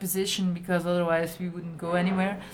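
In a Belgian accent, a woman speaks at a medium pitch against noticeable background noise. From rural Belgium. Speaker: improv performer. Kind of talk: casual chat.

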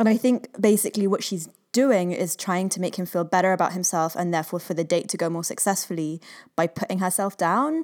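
A woman has an ordinary speaking voice, medium in pitch with ordinary pitch variation. She talks at a fairly quick pace on a very clean recording with a silent background. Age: 30s. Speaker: podcast co-host. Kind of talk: casual chat.

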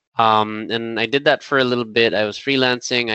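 A man speaks with an American accent. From Philippines. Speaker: design leader and startup co-founder. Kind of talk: podcast interview.

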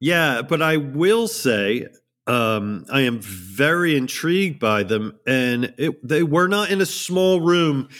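A man with a fairly high pitch talks at a very slow pace, his pitch swinging very widely while his loudness stays very even. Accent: New Jersey. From US, New Jersey. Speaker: audio reviewer. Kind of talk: casual chat.

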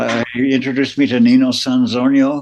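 This man uses an ordinary speaking voice, keeping a medium pitch and fairly even intonation. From Las Vegas, born in New Jersey. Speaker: musician, keyboardist. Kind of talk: casual interview.

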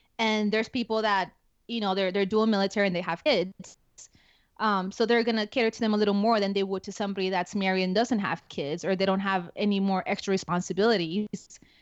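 A woman's medium-pitched voice with a Spanish accent, very fast and fairly even in intonation, over a quiet background. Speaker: active duty security forces NCO. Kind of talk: casual interview conversation.

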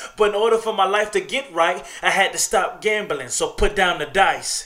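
Noticeable background noise sits behind a man with a high voice who speaks at a moderate pace, his voice raised and projected. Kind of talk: poet spoken word. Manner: earnest, motivational, confessional.

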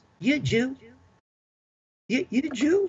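Someone performs a put-on character voice in a Southern US accent. The pitch is high. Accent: Southern American.

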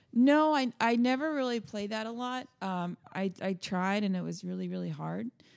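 A woman with an American accent, a plain, everyday voice, lively intonation and a moderate pace. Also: medium pitch for a woman. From Orlando, Central Florida. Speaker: rock band musician. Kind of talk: casual interview chat. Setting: in-person studio recording room.

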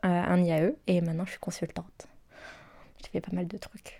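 A woman with a medium-pitched voice talks at a moderate pace. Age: 20s. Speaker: consultant. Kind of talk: testimony. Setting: at her home. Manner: halting.

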